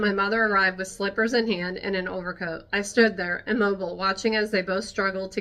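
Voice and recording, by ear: The intonation stays fairly even while reading aloud in a natural voice.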